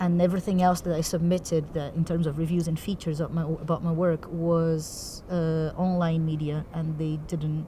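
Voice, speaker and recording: Over noticeable background noise, a woman with a Portuguese accent speaks at a moderate pace in a fairly low, monotone voice with flat intonation. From Brazil. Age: young. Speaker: theatre director. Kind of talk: interview. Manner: articulate.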